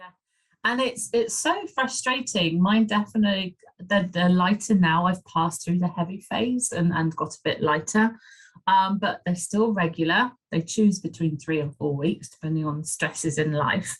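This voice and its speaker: Ordinary pitch variation shapes this somewhat breathy voice as it proceeds at a moderate speed. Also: woman, medium pitch for a woman. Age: 50s. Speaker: menopause coach. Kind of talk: interview.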